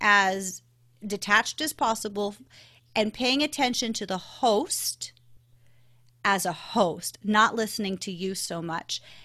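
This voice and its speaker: Very slowly and with ordinary pitch variation, a woman with a slight Canadian accent speaks at a fairly high pitch in a bright, sharp tone, on a very clean recording with a silent background. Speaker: podcast guesting expert. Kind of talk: interview. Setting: podcast recording.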